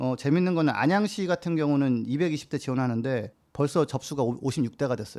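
An ordinary speaking voice from a man, fairly high in pitch with ordinary variation, at a fairly quick pace on a very clean recording with a silent background. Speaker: climate campaigner. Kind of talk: casual chat.

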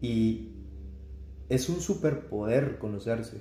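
The man's medium-pitched voice is dark, mellow and somewhat breathy. Audible room echo carries it. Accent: Guatemalan. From Guatemala. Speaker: clinical psychologist. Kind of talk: casual interview conversation.

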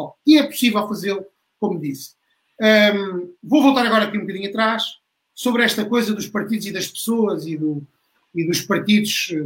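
The pace of this man's talk is moderate. He speaks with a high pitch. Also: ordinary pitch variation. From Portugal, Beja (Alentejo). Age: 40s. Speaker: member of parliament. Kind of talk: online panel debate. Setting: online livestream.

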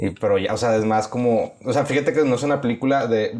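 A man talks with a Mexican accent. Background noise is noticeable. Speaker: podcast co-host. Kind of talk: casual chat.

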